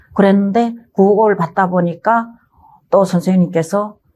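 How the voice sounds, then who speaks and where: A somewhat breathy, dark, mellow tone at a fairly slow pace, with fairly even intonation. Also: woman. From North Korea, North Hamgyong. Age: 50s. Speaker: singer, North Korean defector. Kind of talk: life story interview.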